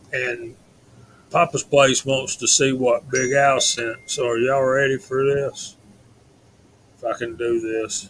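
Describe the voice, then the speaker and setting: A man speaks at a medium pitch with monotone, flat intonation. His pace is fairly slow, with long, frequent pauses. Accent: Southern US. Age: 50s. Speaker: live stream host. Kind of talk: casual chat.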